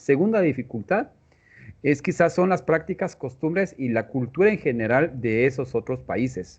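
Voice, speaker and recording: In a Guatemalan accent, a man speaks in a fairly high voice with very wide pitch swings. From Guatemala, Tz'utujil-speaking village. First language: Tz'utujil (speaking Spanish). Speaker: mathematics education professor. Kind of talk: interview. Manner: halting.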